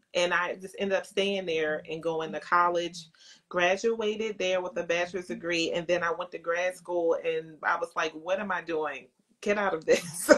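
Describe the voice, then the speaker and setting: A woman speaks in a fairly low voice with a Philadelphia accent. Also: fairly even intonation, moderate pace. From Baltimore, US. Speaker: makeup entrepreneur and actress. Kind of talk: interview. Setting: Instagram live video call.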